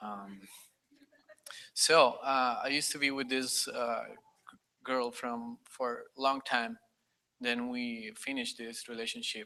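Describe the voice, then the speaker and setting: In a Spanish accent, a man speaks very slowly at a medium pitch, his bright, sharp tone held in a monotone, flat intonation and broken by long, frequent pauses. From Costa Rica. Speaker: conference attendee. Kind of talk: personal testimony. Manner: halting.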